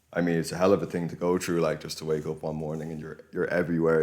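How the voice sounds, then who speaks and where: Very fast and monotone, a man delivers his lines with flat intonation in a very deep, low voice. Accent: Irish. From Ireland, County Kildare. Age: 20s. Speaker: local political activist. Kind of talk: podcast interview.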